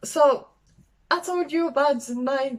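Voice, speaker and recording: A woman with a French accent speaks with ordinary pitch variation. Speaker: travel vlogger. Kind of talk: casual vlog talk. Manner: halting, many fillers; enthusiastic.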